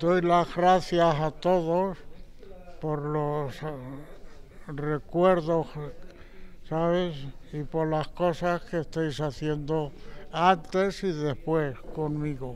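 Light background noise sits behind a man speaking very slowly with long, frequent pauses. His fairly high voice keeps a fairly even intonation. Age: 80s+. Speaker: centenarian; interviewee. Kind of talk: interview. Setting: seniors' centre. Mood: grateful, warm, reflective. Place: hall. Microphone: handheld.

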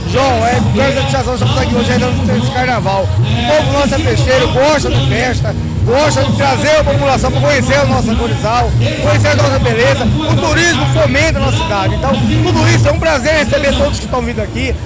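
Music plays behind a man who speaks fairly quickly. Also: dry sound with no echo. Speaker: interviewee. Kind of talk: interview answer. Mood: proud, celebratory. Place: street. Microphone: handheld.

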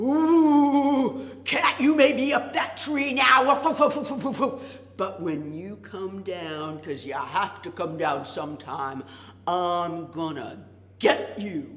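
A woman uses a put-on character voice with very wide pitch swings around a medium pitch. She delivers it at a very slow pace. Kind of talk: told folktale for children. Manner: indignant, shouting.

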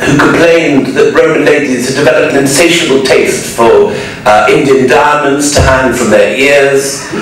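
Over faint music and strong room echo, a man speaks at a moderate pace with fairly even intonation and very even loudness. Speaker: lecturer. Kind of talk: lecture. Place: hall.

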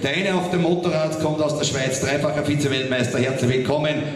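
Loud background noise surrounds a man speaking at a fairly quick pace. His voice is fairly high, with fairly even intonation.

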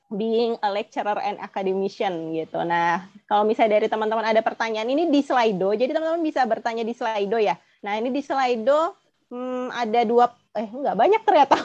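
Fairly quick and lively in intonation, a woman speaks at a fairly high pitch. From Indonesia. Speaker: webinar moderator. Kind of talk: webinar moderation. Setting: video call. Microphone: earbuds.

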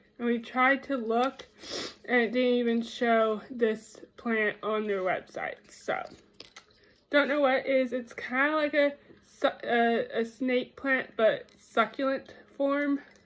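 Her high voice very slow and fairly even in intonation, a woman speaks with long, frequent pauses. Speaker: vlogger showing gifts. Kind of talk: casual vlog chat. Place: kitchen. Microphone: phone near.

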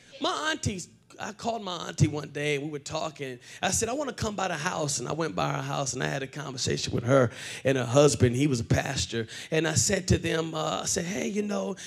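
A man talking at a fairly quick pace, faint music in the background. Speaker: preacher. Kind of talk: sermon. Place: church. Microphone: handheld.

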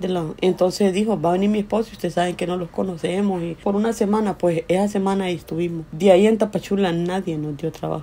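At a fairly quick pace, a woman with a Honduran accent speaks at a medium pitch and fairly even intonation. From Honduras. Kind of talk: interview answer, personal migration story.

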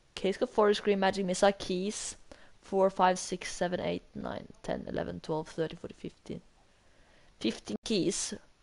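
A woman's medium-pitched voice with vocal fry, fairly slow and fairly even, broken by long, frequent pauses. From Norway. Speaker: gaming streamer. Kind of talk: live gaming stream chat.

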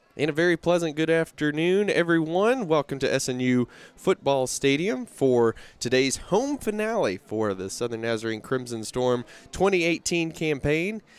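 Over faint background music, a man talks at a fairly slow pace, the sound dry with no echo. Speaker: play-by-play commentator. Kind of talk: sports commentary. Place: stadium. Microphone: headset.

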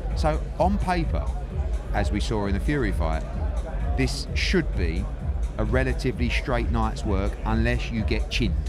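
A man at a moderate pace, dry sound with no echo, clear music in the background. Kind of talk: interview answer. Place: hall. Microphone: handheld.

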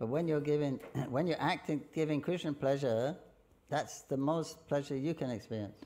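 At a moderate pace, a man speaks with a fairly high pitch, a dark, mellow tone and ordinary pitch variation. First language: English (speaking Russian). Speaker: visiting Hare Krishna lecturer. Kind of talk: lecture. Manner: halting. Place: hall. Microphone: podium.

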